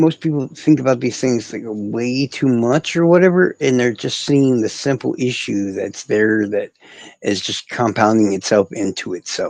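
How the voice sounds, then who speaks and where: In a dry, close recording with no echo, a man with a medium-pitched, unremarkable speaking voice talks at a moderate pace with ordinary pitch variation. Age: 40s. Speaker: livestreamer. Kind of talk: casual chat.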